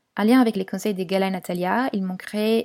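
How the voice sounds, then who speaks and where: Dark, mellow tone at a moderate pace, with fairly even intonation, on a very clean recording with a silent background. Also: woman. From Italy, Turin. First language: Italian (speaking French). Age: 20s. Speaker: podcast guest sharing personal experience. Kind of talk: personal testimony.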